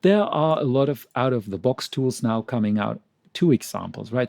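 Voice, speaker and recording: A man with a non-native accent talks at a medium pitch, his tone dark and mellow, his intonation lively. The sound is dry and close with no echo, over a quiet background. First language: not English. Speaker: medical publication trainer. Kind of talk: presentation.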